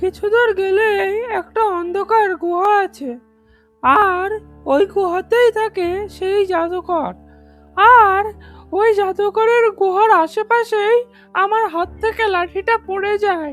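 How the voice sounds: Over faint music in the background, a female-sounding cartoonish character voice at an extremely high pitch moves at a very slow pace.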